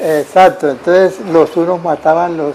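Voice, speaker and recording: A high-pitched male voice with fairly even intonation over noticeable background noise. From Tolima, Colombia. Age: 70s. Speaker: violence survivor. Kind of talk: oral history interview. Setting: at his home.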